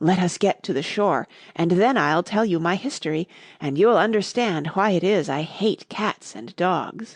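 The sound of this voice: A woman's shaky, put-on character voice at medium pitch, moderate in pace over a quiet background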